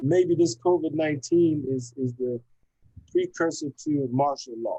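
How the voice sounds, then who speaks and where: A man's fairly high-pitched voice, dark and mellow in tone, at a fairly slow pace. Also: dry, close sound with no echo. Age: 60s. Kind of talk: casual chat. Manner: halting.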